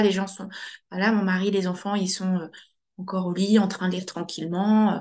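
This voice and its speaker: A woman talks at a fairly quick pace. Her medium-pitched voice has monotone, flat intonation. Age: 30s. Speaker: general practitioner. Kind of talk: interview testimony. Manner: halting.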